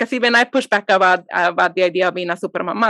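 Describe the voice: With a bright, sharp tone and ordinary pitch variation, a woman talks at a very fast pace in a dry, close sound with no echo.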